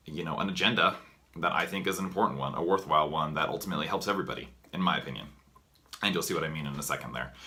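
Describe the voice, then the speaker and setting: Through noticeable background noise, a man with a very deep, low pitch talks at a very fast pace with ordinary pitch variation. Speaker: vlogger. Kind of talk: casual monologue to camera. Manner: halting, many fillers.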